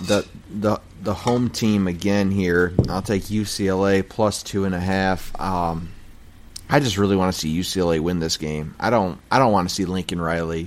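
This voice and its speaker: Fairly low in pitch, a man with an unremarkable speaking voice talks at a fairly slow pace. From Michigan. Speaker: sports podcast host. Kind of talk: casual chat. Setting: garage.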